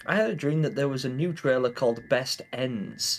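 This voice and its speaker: A loud man's voice with an English accent, at a moderate pace, music in the background. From England. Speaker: gaming streamer. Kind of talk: live stream chat. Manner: hesitant fillers.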